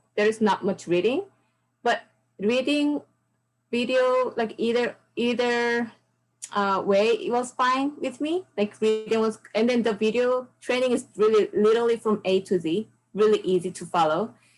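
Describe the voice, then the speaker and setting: Against music in the background, a woman with a Korean accent speaks at a moderate pace, fairly high in pitch, with lively intonation. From South Korea. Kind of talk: interview answer.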